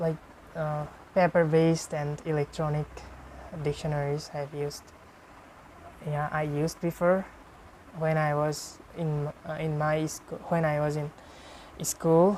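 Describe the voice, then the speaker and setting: Delivered in a flat monotone at a fairly slow pace, the speech is broken by long, frequent pauses over noticeable background noise. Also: woman, very deep, low pitch for a woman. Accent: Bengali. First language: Bengali. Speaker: IELTS speaking practice partner. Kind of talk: casual chat. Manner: halting.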